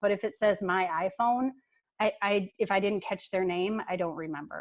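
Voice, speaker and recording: A woman with a plain, everyday voice, medium pitch, fairly even intonation and a moderate pace, over a quiet background. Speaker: workshop presenter. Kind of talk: webinar presentation. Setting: video call.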